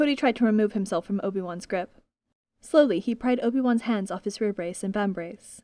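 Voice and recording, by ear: This is reading aloud in a natural voice, with ordinary pitch variation. The background is quiet.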